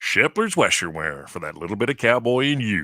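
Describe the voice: Putting on a character voice, a man talks at a fairly quick pace with a medium pitch and very wide pitch swings.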